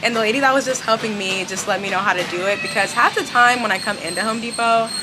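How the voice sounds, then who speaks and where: The pace is very fast, with ordinary pitch variation. There is audible room echo and noticeable background noise. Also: woman. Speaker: home decor vlogger. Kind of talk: casual vlog. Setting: home improvement store.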